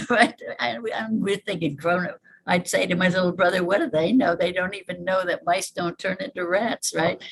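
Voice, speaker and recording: A woman with an American accent speaks at a fairly quick pace in a somewhat breathy, medium-pitched voice with ordinary pitch variation. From upstate New York, Hudson Valley. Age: 80s+. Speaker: evolution biologist. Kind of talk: interview.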